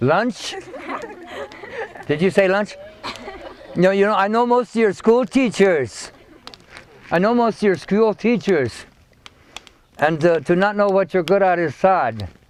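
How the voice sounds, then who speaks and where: A high-pitched male voice with lively intonation, a fairly slow pace and long, frequent pauses, over noticeable background noise. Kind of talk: storytelling and talk to a school group.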